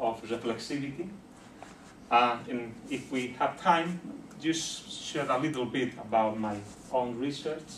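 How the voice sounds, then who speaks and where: A man with a Spanish accent speaks fairly slowly at a medium pitch with ordinary pitch variation, and the room echo is audible. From Bolivia. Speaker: sociologist and university lecturer. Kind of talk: lecture. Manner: halting with frequent fillers.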